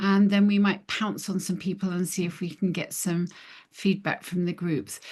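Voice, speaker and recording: Somewhat breathy speech comes at a moderate pace over a quiet background. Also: woman. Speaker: webinar host. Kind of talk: webinar moderation.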